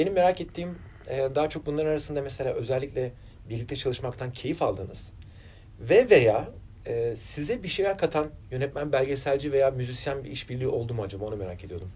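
A man's somewhat breathy, fairly high voice with a dark, mellow tone, lively intonation and big swings in loudness. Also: fairly quick pace. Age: 40s. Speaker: interviewer. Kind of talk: interview. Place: studio.

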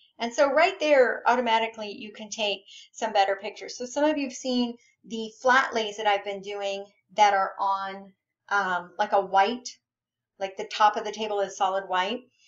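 In an unremarkable speaking voice, a woman with a fairly high pitch talks at a moderate pace, with ordinary pitch variation and big swings in loudness. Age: 40s. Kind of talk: tutorial. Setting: home office, screen-casting. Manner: casual, many filler ums.

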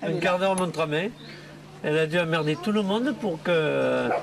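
A man's fairly slow delivery with ordinary pitch variation over noticeable background noise. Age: 40s. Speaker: son in a documentary. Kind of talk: casual chat. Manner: halting. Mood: exasperated, complaining about mother. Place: cafe. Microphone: lapel.

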